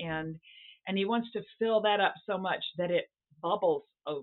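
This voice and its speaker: Speaking in an American accent, a woman uses an unremarkable speaking voice at medium pitch with ordinary pitch variation and a fairly slow pace. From US South. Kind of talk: interview. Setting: remote recording.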